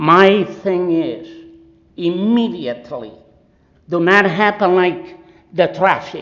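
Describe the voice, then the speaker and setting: Over noticeable background noise and audible room echo, a man with a non-native accent speaks fairly slowly in a high voice with ordinary pitch variation. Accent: foreign. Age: 70s. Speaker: resident speaking at public comment. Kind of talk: public comment at council meeting. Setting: city council meeting. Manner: impassioned.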